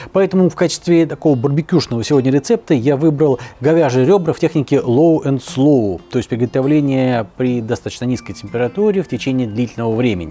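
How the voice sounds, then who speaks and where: Here a man talks at a fairly quick pace. His tone is dark and mellow, with lively intonation. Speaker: cooking show host. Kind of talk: tutorial. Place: garden. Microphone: lapel.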